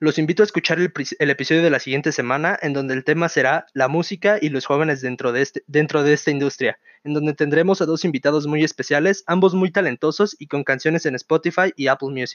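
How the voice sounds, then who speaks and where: A very fast-talking man with fairly high pitch. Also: ordinary pitch variation. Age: 20s. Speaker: podcast host, university student. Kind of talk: casual solo podcast monologue.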